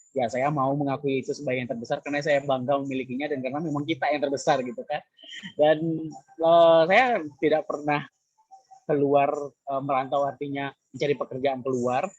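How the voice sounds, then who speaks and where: Speaking in a Minangkabau accent, a man talks at a fairly quick pace in a fairly high pitch. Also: fairly even intonation. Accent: Minang. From West Sumatra, Minangkabau. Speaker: content creator, former radio announcer. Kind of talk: panel talk at virtual career expo.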